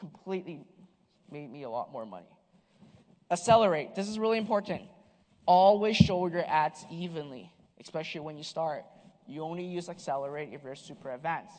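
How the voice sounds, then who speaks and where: The speaker moves at a fairly quick pace but leaves long, frequent pauses. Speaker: online marketing speaker. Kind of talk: conference talk. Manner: fast.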